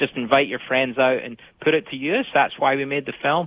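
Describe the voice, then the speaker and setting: A man with a Scottish accent at a fairly high pitch, fairly quick pace and ordinary pitch variation. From Scotland. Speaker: filmmaker. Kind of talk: radio interview.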